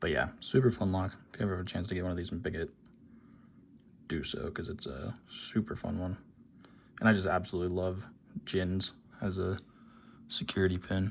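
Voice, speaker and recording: A quiet man's voice, very deep and low, with fairly even intonation, a fairly quick pace and long, frequent pauses, on a very clean recording with a silent background. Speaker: lockpicking hobbyist youtuber. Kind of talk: casual tutorial demonstration. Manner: quiet, subdued; hesitant, many fillers.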